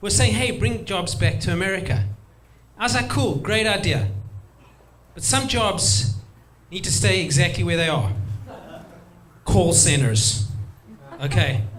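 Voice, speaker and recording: A man at medium pitch and a fairly slow pace, with very wide pitch swings, long, frequent pauses and audible room echo. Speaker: stand-up comedian. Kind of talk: stand-up.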